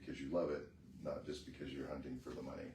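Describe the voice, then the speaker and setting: A soft-spoken voice carries some vocal fry. Room echo is audible around it. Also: man. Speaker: mastermind group member. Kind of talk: casual chat.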